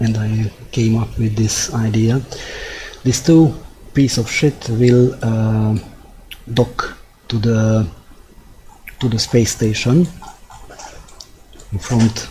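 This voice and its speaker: Amid noticeable background noise, a man with a Hungarian accent speaks at a medium pitch and a very slow pace, with fairly even intonation and long, frequent pauses. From Hungary. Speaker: gaming streamer. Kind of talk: live gameplay commentary. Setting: live stream. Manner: halting.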